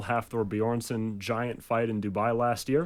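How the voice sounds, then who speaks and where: Here is a man with a plain, everyday voice and fairly low pitch. He keeps a moderate pace and fairly even intonation. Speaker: ring announcer. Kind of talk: radio studio interview answer. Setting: radio studio.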